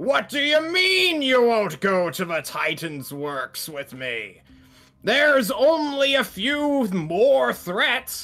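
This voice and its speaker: A man puts on a character voice at a high pitch, raised and projected, with very wide pitch swings. He speaks at a very slow pace over faint music in the background. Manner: angry, shouting.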